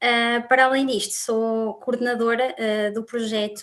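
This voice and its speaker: This woman's voice sits at a fairly high pitch and moves at a fairly slow pace. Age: 20s. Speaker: student volunteer coordinator. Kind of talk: panel discussion.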